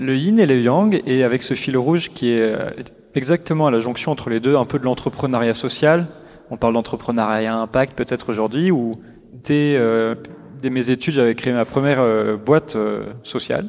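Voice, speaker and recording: Over music in the background, a man speaks at a moderate pace. His pitch is medium with ordinary variation. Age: 30s. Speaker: social enterprise executive. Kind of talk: interview. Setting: live forum event.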